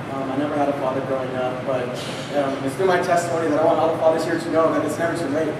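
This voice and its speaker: Very fast speech comes through with audible room echo and noticeable background noise. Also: man. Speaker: speaker. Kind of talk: testimony speech. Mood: earnest, heartfelt. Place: church.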